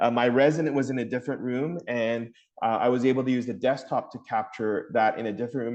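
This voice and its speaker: A man speaks at a medium pitch with fairly even intonation against a quiet background. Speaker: family physician. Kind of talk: webinar presentation. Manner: loud.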